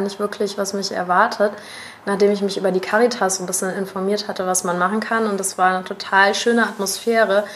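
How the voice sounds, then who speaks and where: A woman at a medium pitch, very fast and monotone with flat intonation, against noticeable background noise. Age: 30s. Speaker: podcast host. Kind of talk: scripted intro; interview.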